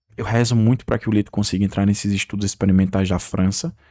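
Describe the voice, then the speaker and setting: Intonation stays fairly even as this man speaks at a moderate pace. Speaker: YouTuber. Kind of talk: unscripted video monologue. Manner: halting.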